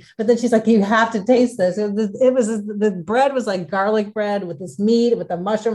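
With an American accent, a woman speaks at a fairly quick pace in a fairly high, dark, mellow voice. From Chicago, US Midwest. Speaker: food travel blogger. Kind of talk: casual interview.

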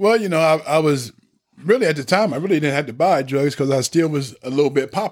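A man with an American accent has an ordinary speaking voice, pitched fairly high with ordinary pitch variation. He talks at a fairly quick pace. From Lebanon, Ohio. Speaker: ex-offender, redemption speaker. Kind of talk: personal testimony. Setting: studio.

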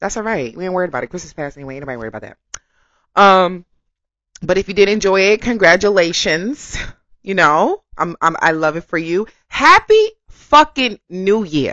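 Animated in tone, a woman talks at a fairly quick pace and medium pitch, with very wide pitch swings and big swings in loudness. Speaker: podcast host. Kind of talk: casual monologue.

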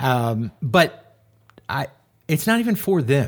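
Very slowly, a man speaks in a fairly high, somewhat breathy voice with lively intonation, recorded very cleanly against a silent background. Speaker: podcast co-host. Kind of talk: casual conversational podcast chat.

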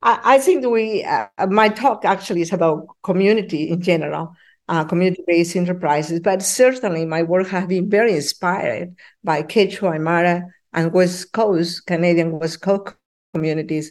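Against a quiet background, a woman with a Spanish accent speaks at a moderate pace in a fairly low pitch, her pitch varying in an ordinary way. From Peru. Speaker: professor. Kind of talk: interview.

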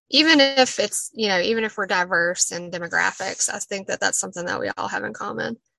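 A woman with an Appalachian accent, very fast pace and hardly any pauses. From Southwest Virginia, Appalachia. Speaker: poet and Appalachian native. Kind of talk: casual interview conversation. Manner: more animated when excited.

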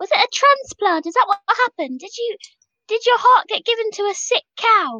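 With hardly any pauses, a woman speaks at a moderate pace in an extremely high voice full of lively intonation.

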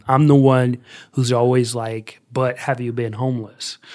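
In a very clean recording with a silent background, a man with an American accent speaks at a medium pitch in a monotone, flat intonation. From US Midwest, Columbus, Ohio. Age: 20s. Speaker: youth outreach coordinator, former political candidate. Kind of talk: podcast interview.

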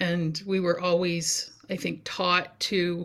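On a very clean recording with a silent background, a woman speaks with a Canadian Maritime accent. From New Brunswick, Canada (First Nations community). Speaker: community development instructor. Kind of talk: interview.

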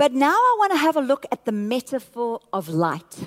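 The sound is dry and close with no echo. A woman speaks at a high pitch with very wide pitch swings. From South Africa. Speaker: pastor. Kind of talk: sermon. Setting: church with live audience.

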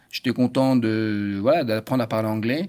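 Keeping his intonation fairly even, a man talks at a medium pitch. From France. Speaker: chef. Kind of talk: casual chat.

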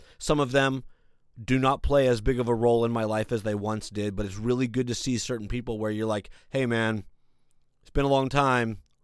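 A man talks at a fairly quick pace and medium pitch, with big swings in loudness. The recording is very clean, the background silent. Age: 40s. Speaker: podcast host. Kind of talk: casual monologue. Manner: animated.

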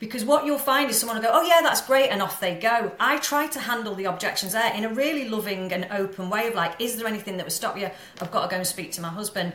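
Over noticeable background noise, a woman with a fairly high pitch races at a very fast pace with lively intonation and hardly any pauses. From Manchester, northern England. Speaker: mindset coach and business mentor. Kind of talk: casual interview chat. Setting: remote call. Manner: confident, powerful.

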